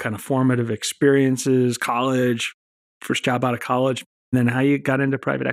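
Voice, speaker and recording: A man with an ordinary speaking voice at medium pitch and moderate pace, on a very clean recording with a silent background. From Texas. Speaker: podcast host, company founder. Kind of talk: podcast interview.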